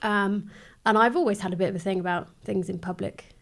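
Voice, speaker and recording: In a very clean recording with a silent background, a woman talks very fast at medium pitch with fairly even intonation. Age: 30s. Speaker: beauty therapist sharing mental health experience. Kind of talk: casual chat.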